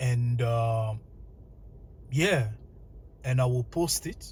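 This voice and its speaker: This man's voice sits at a medium pitch. There is a somewhat breathy quality to it. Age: 20s. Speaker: vlogger. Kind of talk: personal monologue. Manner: halting.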